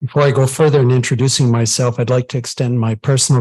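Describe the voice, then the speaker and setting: This man's voice is somewhat breathy, at a medium pitch, with fairly even intonation. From Ontario, Franco-Ontarian. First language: French. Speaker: council member, engineer. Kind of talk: formal self-introduction at council meeting. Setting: council meeting, in person and live-streamed. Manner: formal.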